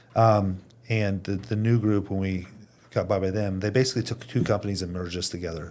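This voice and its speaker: Here is a man with a plain, everyday voice and a fairly low pitch. He goes at a fairly quick pace with fairly even intonation. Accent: American. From Indiana, US Midwest. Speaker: company president. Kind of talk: casual chat.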